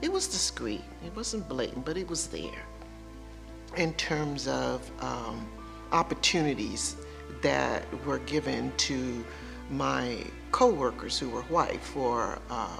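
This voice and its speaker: With music in the background, a woman with an American accent speaks at a very slow pace, leaving long, frequent pauses. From Shreveport, Louisiana, USA. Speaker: retired educator. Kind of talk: interview answer.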